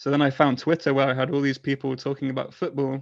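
A man with a British accent at medium pitch against a quiet background. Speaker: football fan and fantasy football community organizer. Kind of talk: casual chat.

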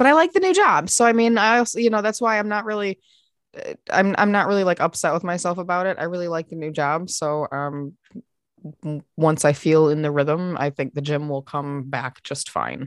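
Against a quiet background, a woman speaks with a plain, everyday voice at a fairly low pitch and a moderate pace. Her intonation is lively, and the sound is dry and close with no echo. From US Midwest (Michigan). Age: 40s. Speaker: podcast co-host. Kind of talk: casual chat.

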